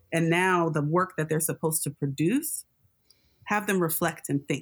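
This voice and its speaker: Over a silent background on a very clean recording, a woman speaks in an American accent with a plain, everyday voice. Her pitch is fairly low, with ordinary pitch variation. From Los Angeles area, US. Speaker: scholar and educator. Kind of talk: interview.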